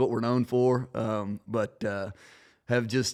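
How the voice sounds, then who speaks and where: A man with a Tennessee accent at a fairly slow pace, on a very clean recording with a silent background. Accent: Southern US (Tennessee). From US South, Middle Tennessee. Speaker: farmer. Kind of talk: podcast interview. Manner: halting, many fillers.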